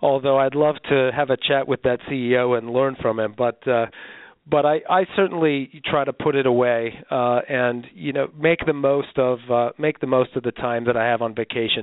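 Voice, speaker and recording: A man with a normal speaking voice talks at a medium pitch and a moderate pace. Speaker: travel company executive. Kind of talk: interview.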